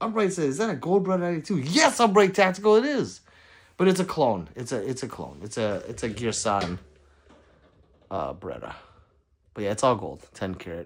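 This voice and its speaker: Over a silent background on a very clean recording, a man with vocal fry speaks with very wide pitch swings, big swings in loudness, and long, frequent pauses. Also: fairly quick pace. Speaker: gun YouTuber live streamer. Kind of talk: casual live stream chat reading comments.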